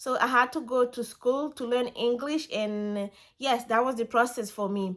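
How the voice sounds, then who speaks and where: A woman speaks with a French accent. Her voice is high, and her pace is moderate. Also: fairly even intonation. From Ivory Coast, West Africa. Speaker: vlogger. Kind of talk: casual storytime vlog. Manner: halting, some repetitions.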